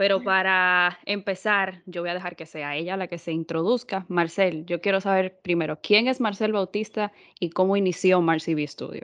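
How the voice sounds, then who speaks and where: At a moderate pace and medium pitch, a woman speaks with hardly any pauses. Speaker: podcast host. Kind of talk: interview. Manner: animated.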